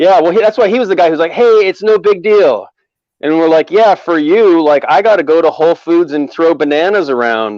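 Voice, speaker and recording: A loud, high-pitched man's voice with an American accent, lively intonation and a fairly quick pace. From US Northwest. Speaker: comedian. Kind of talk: casual chat.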